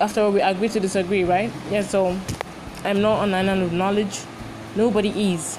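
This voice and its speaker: Over noticeable background noise, a woman with a Nigerian accent speaks at a medium pitch and a fairly quick pace. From Nigeria (Lagos). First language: Igbo. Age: 20s. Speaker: podcast host and university student. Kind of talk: casual podcast intro and monologue. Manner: chatty, animated, informal.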